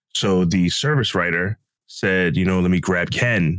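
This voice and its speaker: A man is speaking. His pitch is very deep and low. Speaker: podcast co-host. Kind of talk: casual chat.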